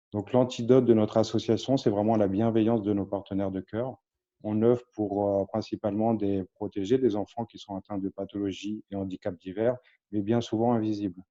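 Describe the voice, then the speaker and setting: A man's fairly low, dark, mellow voice, flat and monotone, at a moderate pace over a quiet background. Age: 30s. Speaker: charity founder. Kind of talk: interview.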